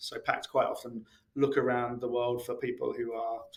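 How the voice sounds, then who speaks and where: A man can be heard. His speech carries a British accent. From UK. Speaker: integration expert, author. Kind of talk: podcast interview. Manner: hesitant, many fillers.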